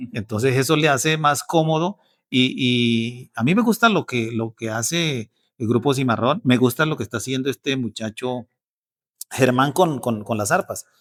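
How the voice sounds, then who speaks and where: A man's medium-pitched voice on a very clean recording with a silent background. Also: dry, close sound with no echo. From Casanare, Colombia. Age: 50s. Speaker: bandola player and music instructor. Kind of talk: interview answer.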